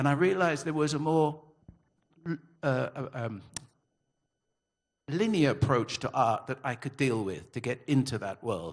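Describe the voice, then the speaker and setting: This man talks at a moderate pace with a medium pitch, vocal fry, lively intonation and long, frequent pauses. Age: 70s. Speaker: author and retired graphic designer. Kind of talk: panel talk at literary festival.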